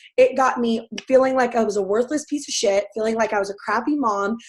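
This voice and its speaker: A woman with an American accent talks loud and at a fairly quick pace, her pitch high. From US South. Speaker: fitness coach. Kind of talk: testimony. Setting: webinar.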